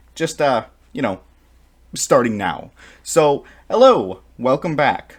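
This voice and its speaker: Very slowly, a man with a fairly high pitch and vocal fry speaks with very wide pitch swings. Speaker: political commentary YouTuber. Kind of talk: comedic video intro.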